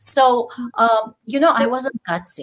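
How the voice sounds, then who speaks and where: A woman speaks with a non-native accent. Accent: foreign. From Turkey (Istanbul, Armenian). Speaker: entrepreneur and former politician. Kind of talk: interview.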